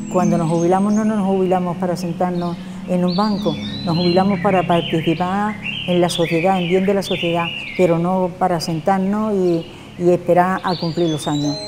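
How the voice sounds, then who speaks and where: Over noticeable background noise, a woman with a fairly low pitch speaks at a moderate pace in a monotone, flat intonation. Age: 80s+. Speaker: community volunteer. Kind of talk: interview answer. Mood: warm, proud, content. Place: hall.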